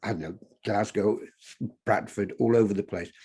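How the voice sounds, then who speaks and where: A man with a fairly low voice talks while music plays in the background. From Yorkshire, northern England. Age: 70s. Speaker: photographer. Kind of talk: interview. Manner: hesitant, many fillers and restarts.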